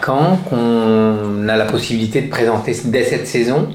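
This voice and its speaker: At a fairly slow pace, a man speaks at medium pitch with ordinary pitch variation amid noticeable background noise. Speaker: theatre deputy director. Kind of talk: radio interview.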